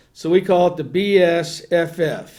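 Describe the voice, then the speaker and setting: This man has a high-pitched voice. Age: 60s. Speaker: attorney, flood-control advocate. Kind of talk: interview. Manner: halting, repetitive restarts.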